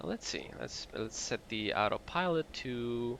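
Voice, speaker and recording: A man with a bright, sharp tone and ordinary pitch variation. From Mexico. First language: Spanish. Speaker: flight sim streamer. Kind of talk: live gameplay commentary. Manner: halting, frequent restarts; animated.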